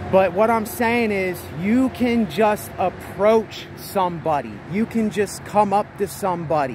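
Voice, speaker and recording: Noticeable background noise sits behind a man's voice. The sound is dry with no echo, and his pitch varies in an ordinary way. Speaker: vlogger. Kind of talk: casual vlog chat. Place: street. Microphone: phone near.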